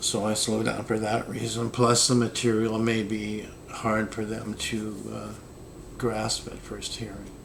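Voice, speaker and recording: A man speaks at a fairly slow pace with a fairly low pitch and monotone, flat intonation, with audible room echo and noticeable background noise. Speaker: esoteric philosophy vlogger. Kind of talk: casual monologue. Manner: low energy.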